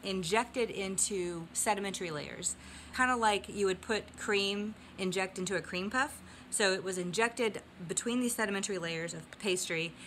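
Moderate pace from a woman, ordinary pitch variation, light background noise. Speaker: geology vlogger. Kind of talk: casual educational vlog. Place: home room. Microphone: phone near.

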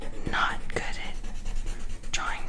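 A woman's whispering voice. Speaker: ASMR artist. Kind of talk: ASMR whispered art drawing narration. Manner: whispered, soft-spoken. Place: home room. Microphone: studio mic.

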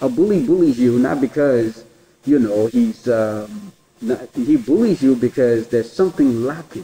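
At a moderate pace, a man of medium pitch talks in an unremarkable speaking voice with lively intonation. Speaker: podcast host. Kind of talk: casual interview.

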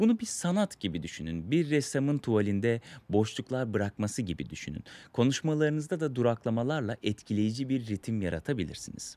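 A man's voice swings very widely in pitch. The sound is dry, with no echo. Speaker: communication skills coach. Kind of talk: tutorial. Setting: outdoors in sunlight. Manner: fast. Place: garden. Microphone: studio mic.

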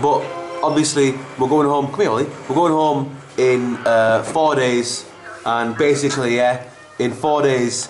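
Over clear background music, a man talks with fairly even intonation and long, frequent pauses. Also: very even loudness. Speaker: vlogger. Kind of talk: casual vlog chat. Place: home room. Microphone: camera far.

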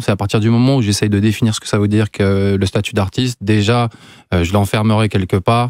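Fairly low-pitched male speech at a moderate pace with fairly even intonation, dry with no echo, over a quiet background. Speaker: visual artist, photographer; guest. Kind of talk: interview. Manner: halting, many fillers. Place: studio. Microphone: studio mic.

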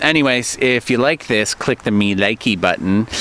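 In a dry sound with no echo, a man speaks at a fairly slow pace. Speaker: vlogger. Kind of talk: casual vlog chat. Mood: relaxed, mildly disappointed. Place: forest. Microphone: phone near.

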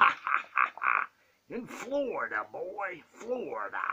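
Very slow speech over noticeable background noise. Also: man. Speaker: comedy vlogger voicing a wrestler puppet. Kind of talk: comedic rant in character. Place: home room. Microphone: phone near.

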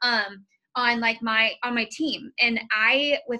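Against a quiet background, a woman speaks in a flat monotone with a bright, sharp tone. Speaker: team coach. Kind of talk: motivational team call talk. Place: home room. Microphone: video call.

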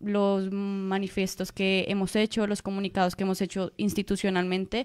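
A woman at a medium pitch and a moderate pace on a very clean recording with a silent background. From Colombia. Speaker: master's student and activist. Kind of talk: radio interview.

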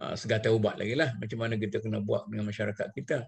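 Over a quiet background, a man talks with vocal fry. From Malaysia. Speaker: religious scholar leading a text reading. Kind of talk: text reading and explanation. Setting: video call. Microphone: video call.

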